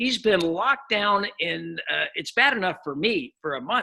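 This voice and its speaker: A man uses a raised, projected voice with a bright, sharp tone at a moderate pace. His pitch swings very widely. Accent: American. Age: 60s. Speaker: podcast host. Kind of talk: casual interview chat.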